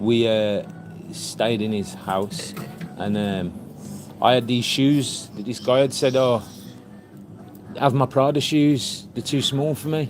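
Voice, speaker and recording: The speech comes in a Birmingham accent at a very slow pace with long, frequent pauses. Music plays in the background. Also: man, medium pitch for a man, ordinary pitch variation. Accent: Birmingham (Brummie). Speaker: sewing teacher and tailor. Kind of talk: casual chat. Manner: animated storytelling.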